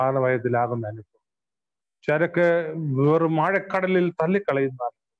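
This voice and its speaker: Against a quiet background, a man speaks in a normal speaking voice with ordinary pitch variation. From Kerala, India. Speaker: pastor. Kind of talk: sermon. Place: home room. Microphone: earbuds.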